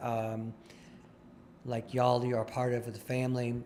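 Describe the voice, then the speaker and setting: The pace is moderate. The speech is in a normal speaking voice. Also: man. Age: 60s. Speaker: recovering alcoholic sharing at a recovery meeting. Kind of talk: testimony. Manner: conversational, with false starts and fillers.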